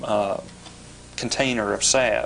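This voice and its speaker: The speaker talks with a Kentucky accent over noticeable background noise. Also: man. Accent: Kentucky Southern US. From western Kentucky. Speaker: politician. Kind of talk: TV interview. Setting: TV studio. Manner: hesitant with fillers.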